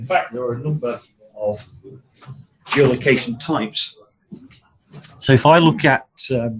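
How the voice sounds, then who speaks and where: A man speaks at a medium pitch with ordinary pitch variation. His loudness swings widely, and he takes long, frequent pauses. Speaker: technical trainer. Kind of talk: online training session. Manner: fast.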